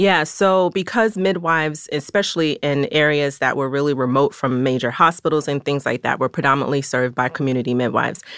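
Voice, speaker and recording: A woman with a very deep, low pitch speaks at a fairly quick pace with ordinary pitch variation and hardly any pauses. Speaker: midwife. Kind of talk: interview. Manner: calm.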